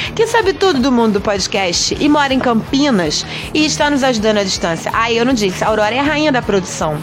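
Over noticeable background noise, a woman talks in an animated tone at a fairly quick pace, with very wide pitch swings and hardly any pauses. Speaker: podcast host. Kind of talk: casual radio show hosting.

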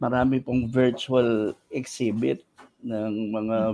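The man's voice sits at a medium pitch and carries a dark, mellow tone. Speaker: theater artist. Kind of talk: casual panel discussion.

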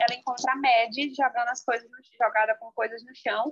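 A woman speaks at a high pitch and a fairly quick pace. The sound is dry and close, with no echo. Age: 20s. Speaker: novelist. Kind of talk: interview.

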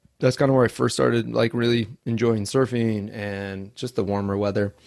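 In a normal speaking voice, a man with an American accent talks at a medium pitch. His pace is fairly quick, with ordinary pitch variation. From US Northwest, Idaho. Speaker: podcast host in addiction recovery. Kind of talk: interview, personal testimony.

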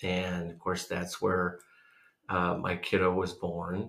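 A man talks with an American accent. His very deep, low voice moves at a very slow pace. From US Midwest (Iowa, Missouri). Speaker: podcast host's husband. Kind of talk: casual chat.

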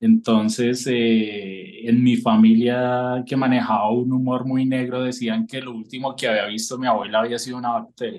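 A man speaks at a moderate pace with hardly any pauses. His medium pitch carries fairly even intonation in an unremarkable speaking voice. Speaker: political cartoonist. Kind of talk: casual interview.

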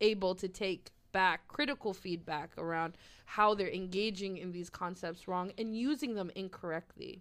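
Against a silent background in a very clean recording, a woman speaks at a moderate pace in an unremarkable speaking voice, medium in pitch with ordinary pitch variation. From Nova Scotia, Canada (Halifax). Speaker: activist. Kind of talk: casual conversational interview.

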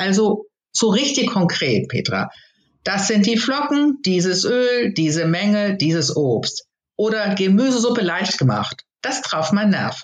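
At a fairly slow pace, a woman with an ordinary speaking voice talks at medium pitch with lively intonation. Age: 60s. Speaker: course participant. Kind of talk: interview.

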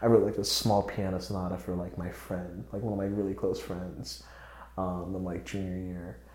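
A man's very deep, low voice at a fairly quick pace, with ordinary pitch variation and audible room echo. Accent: American. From North Carolina, US. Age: 20s. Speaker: composer and music student. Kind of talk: casual chat.

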